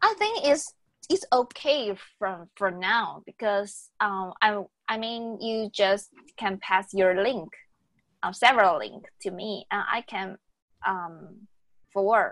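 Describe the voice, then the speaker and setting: A woman's medium-pitched, very slow voice in a Taiwanese accent, with ordinary pitch variation and a very clean recording over a silent background. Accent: Taiwanese Mandarin accent in English. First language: Mandarin Chinese. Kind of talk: casual bilingual chat. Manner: halting, many fillers.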